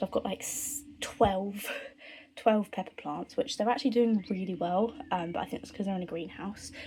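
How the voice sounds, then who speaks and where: At a moderate pace, a woman speaks at a medium pitch in a dark, mellow, somewhat breathy tone, with ordinary pitch variation and big swings in loudness. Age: 20s. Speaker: family vlogger. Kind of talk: casual vlog. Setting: greenhouse.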